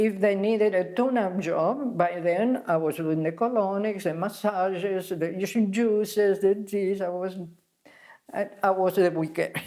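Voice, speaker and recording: A woman with an Argentine accent speaks at medium pitch and a fairly slow pace, her dark, mellow tone carried on fairly even intonation. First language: Spanish. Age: 80s+. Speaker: spa founder, health teacher. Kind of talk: interview. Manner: halting.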